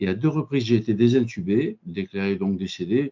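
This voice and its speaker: Moderate tempo from a man, his pitch mid-range and varying in an ordinary way. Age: 60s. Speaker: physicist and engineer, business owner. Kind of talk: conference talk. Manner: halting.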